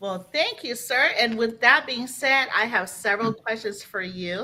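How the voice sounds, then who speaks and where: Noticeable background noise sits behind a woman speaking at a moderate pace and a fairly high pitch. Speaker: talk show host. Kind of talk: podcast interview hosting.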